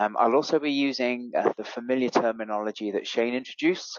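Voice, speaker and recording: With a British accent, a man speaks at a medium pitch and with fairly even intonation. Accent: British, Queen's English. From Europe. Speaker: fleet and mobility expert. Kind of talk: webinar presentation.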